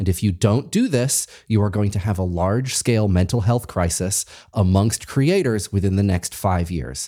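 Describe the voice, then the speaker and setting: A man with an American accent talks at a moderate pace with a fairly low pitch, a dark, mellow tone, ordinary pitch variation and hardly any pauses, on a very clean recording with a silent background. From Massachusetts. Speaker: podcast host. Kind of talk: interview.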